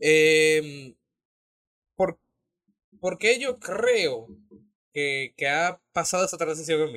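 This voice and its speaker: In a dry, close sound with no echo, a man speaks very slowly at a fairly high pitch with lively intonation and long, frequent pauses. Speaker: podcast co-host. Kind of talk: casual chat.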